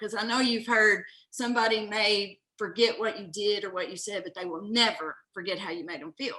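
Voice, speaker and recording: A woman with a Southern US accent speaks at a moderate pace, her fairly high pitch moving with ordinary variation. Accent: Southern twang. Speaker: business owner. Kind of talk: interview. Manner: animated.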